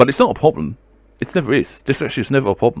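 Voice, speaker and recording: A man's very fast delivery with vocal fry. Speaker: video blogger talking about mental health. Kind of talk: casual monologue vlog. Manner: stumbles on words.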